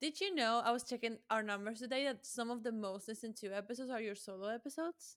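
Here a woman speaks with a Spanish accent. Her pace is very fast. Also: fairly high pitch for a woman, ordinary pitch variation. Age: 20s. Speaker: associate producer. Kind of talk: casual chat.

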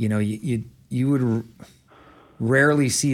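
Fairly quick and fairly even in intonation, a man speaks at a medium pitch in an unremarkable speaking voice. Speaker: football head coach. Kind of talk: radio interview, answering caller questions.

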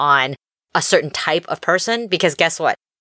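At a fairly quick pace, a woman with a fairly low pitch speaks with ordinary pitch variation in a dry, close sound with no echo. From Texas, Austin. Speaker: prosecutor and podcast host. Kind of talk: casual chat. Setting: recording in a closet.

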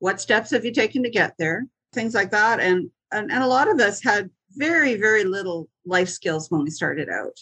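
In a normal speaking voice, a woman with a fairly high pitch and lively intonation talks at a moderate pace, the sound dry and close with no echo. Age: 60s. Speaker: singer-songwriter and comedian. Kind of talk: casual interview.

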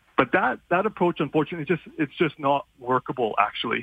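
An unremarkable speaking voice from a man, fairly high in pitch with ordinary pitch variation and a fairly quick pace. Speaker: law professor. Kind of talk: expert interview.

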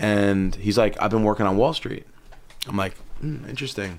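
In a New York accent, a man with a fairly low pitch speaks at a moderate pace. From Long Island, New York. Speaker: footwear designer and entrepreneur. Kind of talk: casual chat.

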